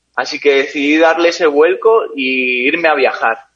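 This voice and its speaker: A man speaks with music playing in the background. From Spain, Basque Country (San Sebastián). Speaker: endurance cyclist. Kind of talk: interview.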